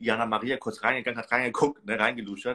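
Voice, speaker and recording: A man speaks very fast in a flat monotone. His tone is bright and sharp, and the background is quiet. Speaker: reality TV commentator. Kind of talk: casual chat. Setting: video call. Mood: amused, gossipy. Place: home room. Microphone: video call.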